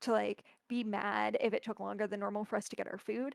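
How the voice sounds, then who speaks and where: A woman speaks with an animated tone and a fairly high pitch. The sound is dry and close, with no echo. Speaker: cosplayer. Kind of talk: casual chat. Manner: fast.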